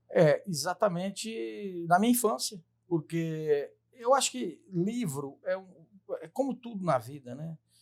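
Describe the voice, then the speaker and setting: A man talks at a high pitch, with very wide pitch swings. His loudness swings widely too. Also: fairly slow pace. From Brazil, Tocantins (Dianópolis, formerly northern Goiás). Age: 50s. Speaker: lawyer and writer. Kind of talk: interview conversation.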